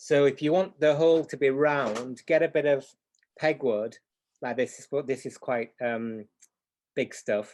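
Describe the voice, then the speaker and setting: A man with a Yorkshire accent and a fairly high pitch, fairly slow pace, long, frequent pauses, big swings in loudness and ordinary pitch variation. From Yorkshire, northern England. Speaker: clock repair teacher. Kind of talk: live tutorial demo. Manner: hesitant, many fillers.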